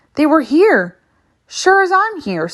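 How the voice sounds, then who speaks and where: A woman puts on a squeaky character voice with a high pitch. Her pitch swings very widely. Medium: read story. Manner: confident, folksy.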